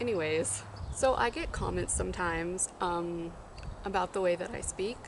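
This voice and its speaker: A woman with a fairly low voice speaks at a moderate pace with lively intonation. Noticeable background noise and audible room echo are present. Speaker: youtuber. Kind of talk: casual vlog talk.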